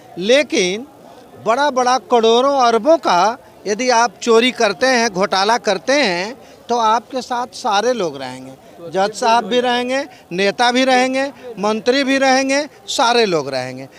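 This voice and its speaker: A man speaks with an extremely high pitch and ordinary pitch variation. Noticeable background noise runs underneath. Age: 60s. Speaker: physics scholar, interviewee. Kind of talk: street interview.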